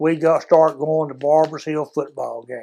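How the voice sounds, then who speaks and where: A man speaks in a Texan accent at a moderate pace. The recording is very clean, with a silent background. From Texas, Houston area. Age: 70s. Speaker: former high school football player. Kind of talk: interview storytelling.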